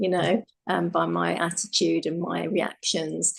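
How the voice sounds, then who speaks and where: The speaker is a woman. She talks with a British accent. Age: 60s. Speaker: life coach. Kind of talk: casual chat.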